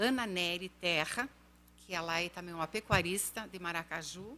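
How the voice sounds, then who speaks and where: A woman's medium-pitched voice, bright and sharp in tone, with ordinary pitch variation and a moderate pace. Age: 50s. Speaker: podcast guest, education advocate. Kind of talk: podcast interview.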